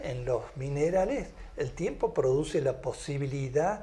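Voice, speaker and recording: A man's very slow, fairly high-pitched voice with a dark, mellow tone, vocal fry and audible room echo. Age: 70s. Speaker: lecturer on cosmology theory. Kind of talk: lecture. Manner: halting, with many fillers.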